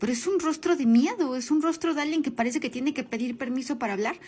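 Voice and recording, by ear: Her pitch high for a woman and its variation ordinary, a woman speaks at a very fast pace.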